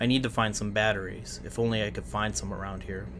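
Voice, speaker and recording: A man's put-on character voice, creaky and fairly low-pitched, at a very fast pace over loud background noise. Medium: read story.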